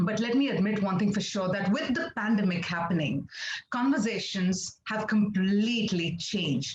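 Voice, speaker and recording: The speaker has a Telugu accent. The pace is moderate. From India, Andhra Pradesh (Kakinada). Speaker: international anchor and presenter. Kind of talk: webinar talk.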